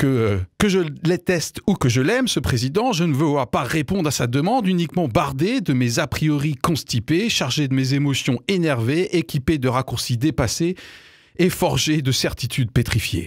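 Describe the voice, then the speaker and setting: A man talks at a moderate pace in a fairly high pitch, with lively intonation and very even loudness. The sound is dry with no echo, and the background is quiet. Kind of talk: opinion commentary. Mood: wry, critical, earnest. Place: studio. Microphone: studio mic.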